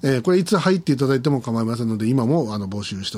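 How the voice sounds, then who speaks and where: The recording is very clean, with a silent background. A man with a medium pitch talks at a very fast pace. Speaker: podcast host. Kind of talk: solo monologue. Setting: studio. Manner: halting.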